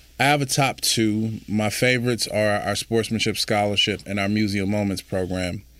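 Fairly low in pitch, a man uses an ordinary speaking voice with fairly even intonation at a moderate pace and hardly any pauses. The recording is very clean, with a silent background. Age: 40s. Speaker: youth sports nonprofit director, former teacher and coach. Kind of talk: interview.

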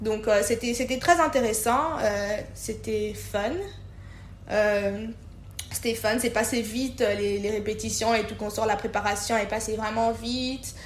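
Audible room echo surrounds a woman speaking at a very slow pace, her fairly high pitch held in fairly even intonation. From DR Congo (Kisangani, Kinshasa). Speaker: payroll manager. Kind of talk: personal story interview.

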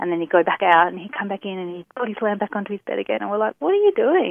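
A woman is speaking. Her accent is Australian. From Tasmania, Australia. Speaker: small business owner, craft maker. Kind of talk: casual interview.

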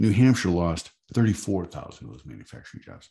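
A man talks at a fairly quick pace in a dark, mellow tone with vocal fry and lively intonation. The background is quiet. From Michigan. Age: 50s. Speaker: advocacy group executive. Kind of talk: interview.

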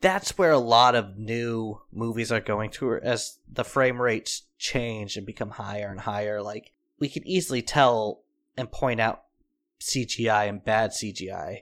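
Here is a man with an ordinary speaking voice at a medium pitch, showing ordinary pitch variation. He speaks at a fairly slow pace, and the recording is very clean with a silent background. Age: 30s. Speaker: podcast co-host. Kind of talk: casual chat.

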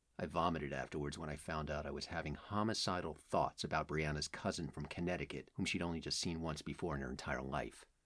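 A man with a very deep, low pitch and vocal fry talks at a very fast pace with hardly any pauses and fairly even intonation. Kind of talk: literary audiobook reading. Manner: intimate first-person narration, brooding and wistful.

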